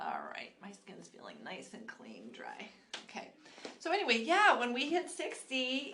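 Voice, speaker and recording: Recorded with audible room echo, a woman with a high voice and a bright, sharp tone speaks at a fairly slow pace, her pitch swinging very widely and her loudness shifting in big swings. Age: 60s. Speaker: esthetician and skincare channel host. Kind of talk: live skincare tutorial. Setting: live stream at a studio. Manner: casual, conversational with fillers.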